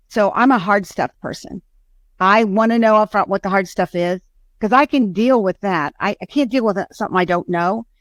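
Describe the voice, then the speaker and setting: The tone is energetic and the pace moderate. The sound is dry and close with no echo, on a very clean recording with a silent background. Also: woman, medium pitch for a woman, ordinary pitch variation. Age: 60s. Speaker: insurance agency owner. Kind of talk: interview answer.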